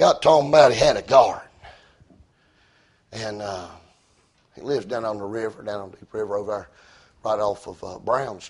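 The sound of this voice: A slightly mellow tone with a slightly husky edge, at a moderate pace with ordinary pitch variation and long, frequent pauses. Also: man, fairly low pitch for a man.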